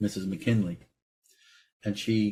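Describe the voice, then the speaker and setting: A somewhat breathy man's voice, fairly low in pitch, with a dark, mellow tone. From New York, Brooklyn. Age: 50s. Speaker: actor and director. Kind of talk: interview. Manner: animated.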